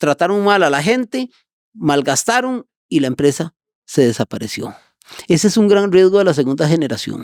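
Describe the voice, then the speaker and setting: With an energetic tone and a high pitch, a man speaks at a moderate pace, his voice making very wide pitch swings at very even loudness in a dry, close sound with no echo. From Costa Rica, San José south barrios. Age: 60s. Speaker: business owner. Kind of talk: interview.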